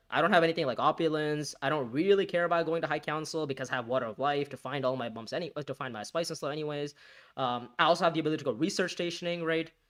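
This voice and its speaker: Speaking very fast with a non-native accent, the voice shows ordinary pitch variation. The recording is very clean, and the background is silent. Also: man, fairly high pitch for a man. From India. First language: not English. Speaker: gaming streamer. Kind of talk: live gameplay commentary. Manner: halting, self-correcting.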